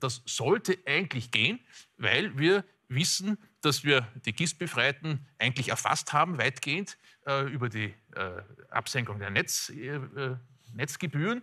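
A man's fairly high, bright and sharp voice in an Austrian accent, with very wide pitch swings, a fairly slow pace and long, frequent pauses, against a quiet background. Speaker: economist. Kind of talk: expert interview. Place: studio. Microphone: lapel.

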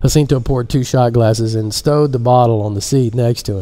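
Someone reads aloud in a natural voice.

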